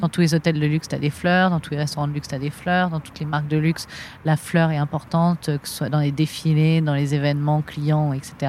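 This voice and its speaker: A woman talks fairly quickly in a very deep, low voice. Her intonation is flat and monotone. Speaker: florist and shop owner. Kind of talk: interview. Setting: outdoors in a botanical garden.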